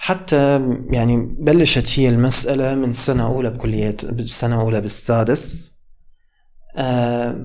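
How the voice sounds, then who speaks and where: Fairly even intonation carries the words along at a very slow pace. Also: man, medium pitch for a man. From Iraq. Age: 20s. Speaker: medical student and YouTuber; YouTuber. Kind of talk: motivational talk. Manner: casual. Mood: calm, reflective. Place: home room. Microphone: studio mic.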